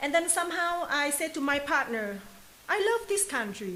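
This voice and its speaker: Noticeable background noise surrounds a woman speaking at a moderate pace. Her intonation is lively. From Vietnam, Hanoi. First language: Vietnamese. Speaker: new resident telling migration story. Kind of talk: testimony. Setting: office. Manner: halting.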